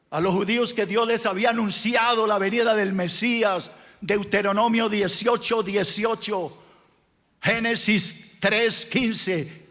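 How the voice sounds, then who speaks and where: A man with a high pitch speaks at a very slow pace, with ordinary pitch variation. Audible room echo surrounds his voice. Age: 60s. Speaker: pastor. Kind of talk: sermon. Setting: church.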